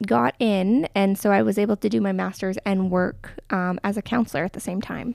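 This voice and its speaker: A woman with a Canadian accent and an unremarkable speaking voice talks at a moderate pace and medium pitch, with ordinary pitch variation and a dry, close sound with no echo. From Alberta, Canada (Crowsnest Pass, Medicine Hat). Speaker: counsellor. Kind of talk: casual interview.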